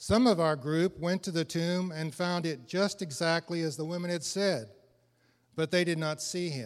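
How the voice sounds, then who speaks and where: A man with an American accent, high in pitch, with ordinary pitch variation and a moderate pace, in a very clean recording with a silent background. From Illinois. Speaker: church member. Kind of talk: reading aloud.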